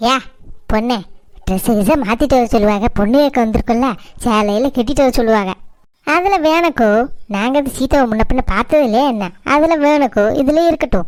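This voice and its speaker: A woman does a cartoonish character voice with a high pitch, lively intonation and a moderate pace. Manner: loud, rambling.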